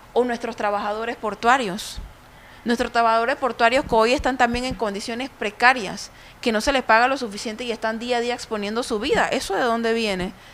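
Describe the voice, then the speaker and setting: A woman in a Panamanian accent talks at a fairly quick pace with a fairly high pitch and fairly even intonation. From Panama, Colón. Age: 30s. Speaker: speaker at a women's conference. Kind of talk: conference talk. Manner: impassioned.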